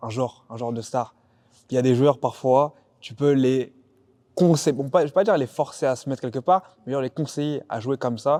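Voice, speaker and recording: A man with a dark, mellow tone speaks at medium pitch and a moderate pace, with ordinary pitch variation, on a very clean recording with a silent background. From France, Paris suburbs (Val-d'Oise). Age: 20s. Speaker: basketball player. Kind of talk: casual chat.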